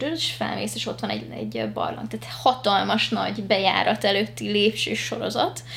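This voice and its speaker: Against noticeable background noise, a woman talks with hardly any pauses. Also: moderate pace. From grew up abroad (Asia), moved to Hungary as a teen. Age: 20s. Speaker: singer-songwriter. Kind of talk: casual chat. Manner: halting, many repetitions and fillers.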